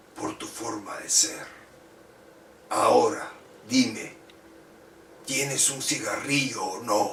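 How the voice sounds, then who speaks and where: In a put-on character voice that is raspy and menacing in tone, the speaker talks at a very slow pace with long, frequent pauses and an audible echo. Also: man. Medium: read story. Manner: menacing, mocking.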